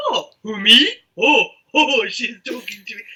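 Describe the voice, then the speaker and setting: In a put-on character voice, the speaker talks at a high pitch and a fairly slow pace. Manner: playful, surprised.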